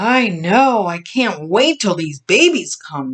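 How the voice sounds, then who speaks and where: Here a woman puts on a character voice. Her pitch sits in the medium range and swings very widely. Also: fairly slow pace. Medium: read story.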